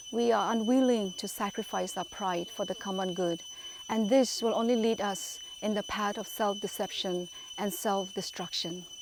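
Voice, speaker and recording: A woman's ordinary speaking voice at a moderate pace, with lively intonation. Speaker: clergy member, religious speaker. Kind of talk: religious talk to camera, reflective sermon-like address.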